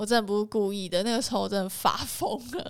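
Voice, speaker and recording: There's a woman's normal speaking voice with ordinary pitch variation. The recording is very clean, with a silent background. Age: 20s. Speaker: photographer. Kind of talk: casual chat.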